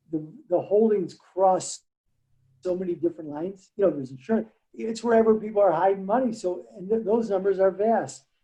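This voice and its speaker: A man speaks at a fairly quick pace in a high pitch with ordinary pitch variation and a dark, mellow tone. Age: 60s. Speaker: market trader. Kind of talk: casual chat.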